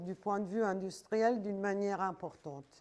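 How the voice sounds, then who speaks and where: A woman at medium pitch with a dark, mellow tone and an Italian accent. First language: Italian (speaking French). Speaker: design journalist and lecturer. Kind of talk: lecture.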